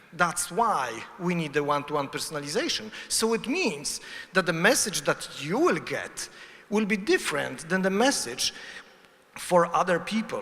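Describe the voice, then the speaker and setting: Lively intonation marks this man's high voice in a Polish accent. He keeps a moderate pace against noticeable background noise. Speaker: conference speaker. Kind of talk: conference talk. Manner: halting.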